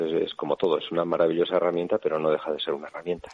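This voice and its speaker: A man speaks with a Basque accent. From Navarre, Basque-speaking area, Spain. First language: Basque (speaking Spanish). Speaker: bishop. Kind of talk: radio interview.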